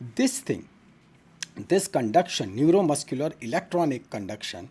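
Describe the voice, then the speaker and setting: A man's fairly high, dark and mellow voice with vocal fry, very wide pitch swings and a moderate pace. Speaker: medical teacher. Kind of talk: online lecture. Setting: live stream.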